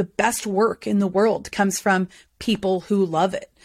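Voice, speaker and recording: In a very clean recording with a silent background, a woman talks in an animated tone at a fairly quick pace. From North Carolina, US South (born in Boston, moved at about nine). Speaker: burnout expert and keynote speaker. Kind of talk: casual interview chat.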